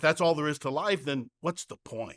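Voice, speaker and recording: A man speaks at a fairly quick pace in a plain, everyday voice, pitched fairly high. The recording is very clean and dry, close and echo-free against a silent background. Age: 60s. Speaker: pastor. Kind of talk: sermon.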